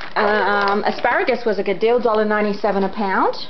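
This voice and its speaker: A woman talks while light background noise can be heard. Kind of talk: casual vlog chat. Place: home room. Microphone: phone near.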